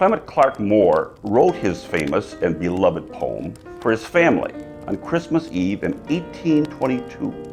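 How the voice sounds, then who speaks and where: A man speaking at a fairly slow pace, with music in the background. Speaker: mayor. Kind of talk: event host introduction.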